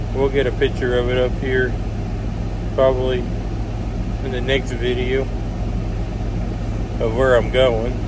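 The speaker goes at a fairly slow pace with long, frequent pauses. The sound is dry with no echo, set against loud background noise. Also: man. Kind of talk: casual vlog chat. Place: car. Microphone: phone near.

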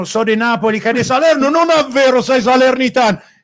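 A man at a moderate pace, with lively intonation. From Umbria, Gubbio. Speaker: winemaker. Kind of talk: casual chat. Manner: loud.

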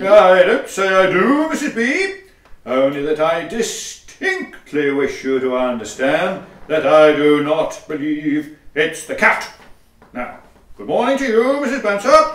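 A man with a high voice speaks at a fairly slow pace in a pompous tone, his pitch swinging very widely. There is a slight echo. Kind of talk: Victorian farce, comic stage acting. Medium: audio drama. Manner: pompous, dry, sarcastic.

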